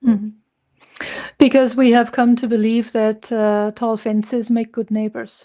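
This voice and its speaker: In a German accent, a woman speaks at a fairly slow pace with monotone, flat intonation. Her fairly high voice has a dark, mellow tone. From southern Germany, near Munich. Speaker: consultant, company founder. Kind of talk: interview.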